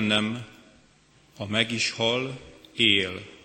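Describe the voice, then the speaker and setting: A man's fairly low, monotone, flat voice at a very slow pace, with noticeable background noise. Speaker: liturgist. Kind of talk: church liturgy. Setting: church.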